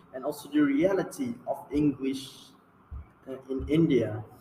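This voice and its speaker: Noticeable background noise is present as a man talks at a fairly slow pace. His fairly high voice carries lively intonation. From Malaysia. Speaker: student presenter. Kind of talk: class presentation.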